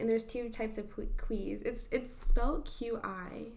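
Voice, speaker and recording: A woman's fairly high-pitched voice comes through with audible room echo. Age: 20s. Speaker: podcast co-host. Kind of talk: casual chat; reading aloud. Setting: at home.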